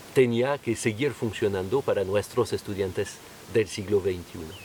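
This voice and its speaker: A man's fairly low voice at a fairly slow pace, with ordinary pitch variation and noticeable background noise. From France. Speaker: violinist and violin teacher. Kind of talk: scripted narration. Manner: formal.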